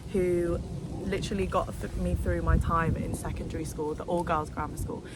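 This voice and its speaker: A woman with a London accent, with audible room echo and noticeable background noise. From London, England. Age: 20s. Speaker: vlogger. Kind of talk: casual vlog monologue. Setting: outdoors in a park. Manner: animated; talkative.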